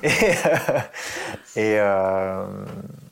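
He is a man with a fairly low voice. His pitch sits on the deeper side. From Paris suburbs, Essonne. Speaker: therapist and former music producer. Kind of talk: casual interview. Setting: at home in his living room. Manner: hesitant, many fillers.

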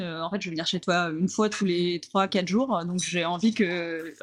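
This woman speaks at a medium pitch. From Normandy, France. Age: 30s. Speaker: coffee shop owner. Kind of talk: interview. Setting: in her coffee shop. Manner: hesitant, many fillers.

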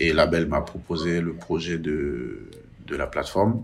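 A man's very deep, low pitch, with typical pitch movement. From Benin. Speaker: workshop manager. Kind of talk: testimony. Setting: remote line. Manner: halting.

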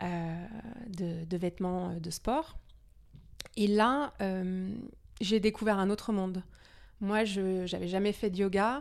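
A woman with a medium pitch speaks at a very slow pace. Her pitch varies in an ordinary way, and she leaves long, frequent pauses. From Denmark, half Danish. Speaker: yoga studio founder and entrepreneur. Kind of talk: podcast interview. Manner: hesitant, many repeated words.

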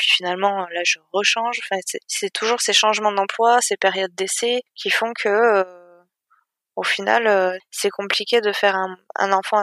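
A bright, sharp tone comes through in a monotone, flat intonation at a fairly slow pace, captured in a very clean recording with a silent background and a dry, close sound with no echo. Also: woman, medium pitch for a woman. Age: 30s. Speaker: IT project manager. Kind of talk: interview testimony. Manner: hesitant.

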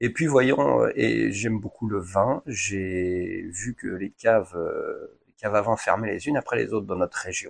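At a fairly slow pace, a man speaks against a quiet background, the sound dry and close with no echo. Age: 40s. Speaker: wine shop owner, former firefighter. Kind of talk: interview.

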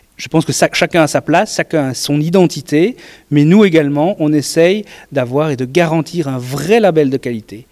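A man in a normal speaking voice talks at a moderate pace with a fairly high pitch and ordinary pitch variation. The sound is dry and close, with no echo. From Belgium. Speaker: beer competition organizer. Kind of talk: interview.

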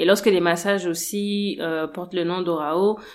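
In a plain, everyday voice, a woman with a fairly low pitch speaks at a fairly slow pace with ordinary pitch variation. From Gabon. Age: 30s. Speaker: massage therapist and cosmetics entrepreneur. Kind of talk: interview.

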